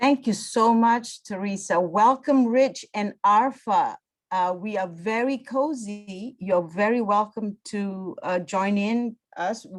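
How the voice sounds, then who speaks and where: Very slow speech from a woman, fairly high in pitch and with ordinary pitch variation. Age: 60s. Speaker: storytelling coach and business trainer. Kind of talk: webinar presentation.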